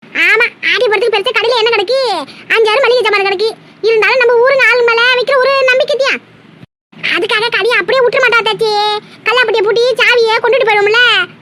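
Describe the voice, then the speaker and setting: In a cartoonish character voice, the speaker goes at a moderate pace with fairly even intonation. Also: woman, extremely high pitch for a woman. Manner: chatty, gossipy.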